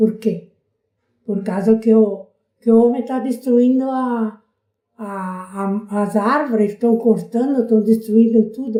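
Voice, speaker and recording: In a dark, mellow tone, a woman with a fairly high pitch speaks at a fairly slow pace with fairly even intonation. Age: 80s+. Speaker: local resident, elderly interviewee. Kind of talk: oral history interview.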